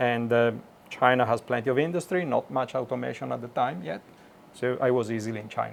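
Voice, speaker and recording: With music in the background, a man with an Italian accent speaks very fast at a medium pitch, using ordinary pitch variation. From Italy (Milan). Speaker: automation engineer. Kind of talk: interview. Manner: halting, many fillers.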